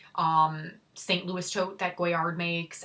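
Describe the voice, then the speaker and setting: Her pitch fairly low, a woman speaks in a Chicago accent. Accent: Chicago accent, self-described as horrible. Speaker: handbag YouTuber. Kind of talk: casual vlog reveal. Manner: casual, filler-heavy.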